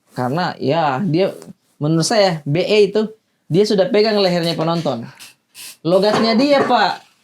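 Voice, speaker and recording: A man's high-pitched voice unfolds at a fairly slow pace. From Sulawesi, Indonesia. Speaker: stand-up comedian, podcast co-host. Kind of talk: casual chat. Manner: animated.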